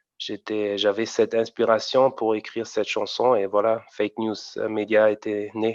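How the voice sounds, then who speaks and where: A man with a German accent speaks fairly slowly at a medium pitch in a monotone, flat intonation, with a dry, close sound with no echo and a quiet background. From Germany, Frankfurt region. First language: German (speaking French). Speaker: amateur rapper. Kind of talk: interview. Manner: halting, many repetitions.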